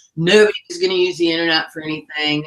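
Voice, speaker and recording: A woman speaks in a Southern US accent. Her intonation stays fairly even. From US South. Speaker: online marketing business owner. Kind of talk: webinar presentation.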